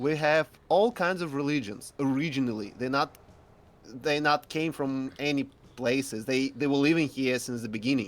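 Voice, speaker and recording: On a very clean recording with a silent background, a man speaks in a Russian accent at a moderate pace. His pitch is fairly high, with ordinary pitch variation. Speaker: guest. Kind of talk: casual discussion. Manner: halting.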